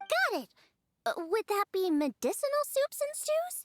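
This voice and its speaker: Someone performs a put-on character voice, pitched extremely high and swinging very widely in pitch. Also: moderate pace. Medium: video game. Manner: upbeat, eager.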